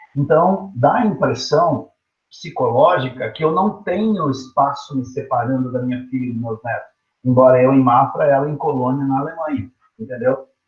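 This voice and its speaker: Fairly high in pitch with ordinary pitch variation, a man's somewhat breathy voice comes through. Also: moderate pace. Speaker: teacher. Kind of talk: online lecture. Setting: teaching from home online. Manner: casual, conversational.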